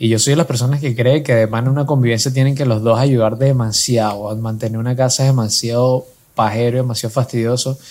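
A man's medium-pitched voice at a very fast pace, monotone and flat in intonation. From Venezuela. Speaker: podcast co-host. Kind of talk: casual chat.

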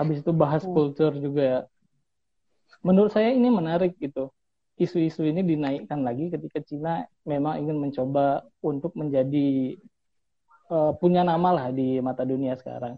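A man with a fairly high pitch talks in an unremarkable speaking voice. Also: ordinary pitch variation, fairly quick pace. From Bengkulu, Indonesia. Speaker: PhD student. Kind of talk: casual interview. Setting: remote call.

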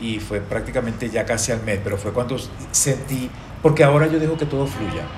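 A man speaks with ordinary pitch variation. There is noticeable background noise and audible room echo. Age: 50s. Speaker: actor. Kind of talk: casual chat.

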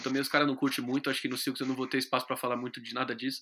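A bright, sharp tone on a very clean recording with a silent background. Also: man. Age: 20s. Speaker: guitarist and radio presenter. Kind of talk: casual interview.

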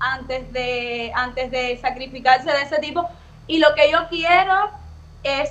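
Speech comes at a very slow pace, and the pitch varies in an ordinary way. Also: woman. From Havana, Cuba. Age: 20s. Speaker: influencer. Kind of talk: interview.

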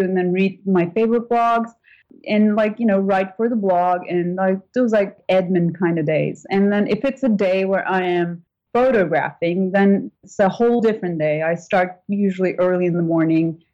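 This woman speaks with a Turkish accent at a moderate pace. Her pitch sits in the middle, with ordinary variation. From Turkey. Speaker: food blogger and photographer. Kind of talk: casual interview chat.

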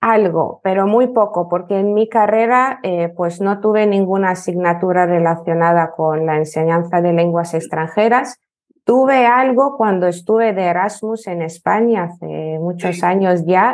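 Speaking with a Lithuanian accent, a woman uses a medium pitch with ordinary variation. Her pace is fairly slow, with hardly any pauses. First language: Lithuanian (speaking Spanish). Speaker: language teacher. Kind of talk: interview.

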